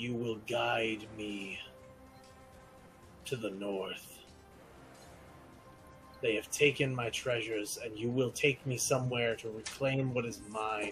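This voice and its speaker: A man does a booming put-on character voice at medium pitch and a fairly slow pace. Long, frequent pauses break it up, and clear background noise runs underneath. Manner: commanding, menacing.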